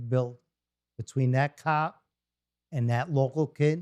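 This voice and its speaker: A man with an American accent speaks at a moderate pace and medium pitch in a dark, mellow tone with ordinary pitch variation, the sound dry and close with no echo. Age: 60s. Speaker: police boxing program leader. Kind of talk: interview. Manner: halting, repeats words.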